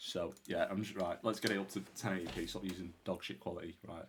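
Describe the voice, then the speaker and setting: With a British accent, a man speaks at a moderate pace in a flat monotone with a very deep, low pitch. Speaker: reaction video youtuber. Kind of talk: casual reaction commentary. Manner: loud.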